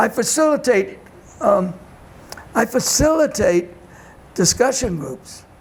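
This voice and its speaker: A man with an extremely high pitch and a Boston accent, at a fairly slow pace with long, frequent pauses, over noticeable background noise. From Boston, Massachusetts (Dorchester). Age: 90s. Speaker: community elder and discussion group facilitator. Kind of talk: interview. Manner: halting.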